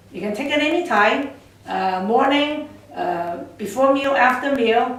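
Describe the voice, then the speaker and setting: With noticeable background noise and audible room echo, a woman speaks at a moderate pace with ordinary pitch variation. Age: 60s. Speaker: product distributor. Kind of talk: sales pitch. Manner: halting.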